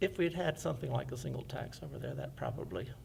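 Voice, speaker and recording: Audible room echo surrounds a man speaking fairly quickly at medium pitch with vocal fry. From US South, Fairhope, Alabama. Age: 60s. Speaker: oral history interviewee. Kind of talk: oral history testimony.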